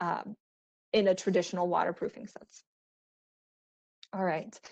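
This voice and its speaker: Against a quiet background, a woman speaks at a medium pitch. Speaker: architectural sales rep presenting to architects. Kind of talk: webinar presentation. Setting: virtual online webinar. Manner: fast.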